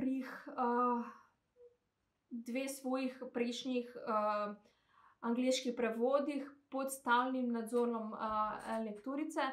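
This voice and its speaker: In a quiet background with audible room echo, a woman speaks with a Macedonian accent at a high pitch, her intonation flat and monotone. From North Macedonia, Skopje; North Macedonia. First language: Macedonian (speaking Slovenian). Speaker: translator. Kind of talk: testimony. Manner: halting. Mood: calm, somewhat hesitant. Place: home room. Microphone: phone near.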